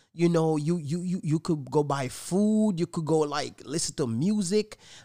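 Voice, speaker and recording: Music plays behind a man with a fairly high pitch. He speaks in an animated tone. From Jamaica. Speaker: podcast host. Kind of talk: casual chat.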